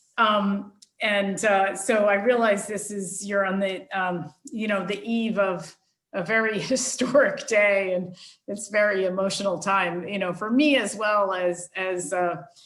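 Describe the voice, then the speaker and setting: A woman with an American accent speaks at a fairly slow pace with fairly even intonation. Audible room echo surrounds her voice. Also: medium pitch for a woman. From United States. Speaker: global union leader. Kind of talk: interview.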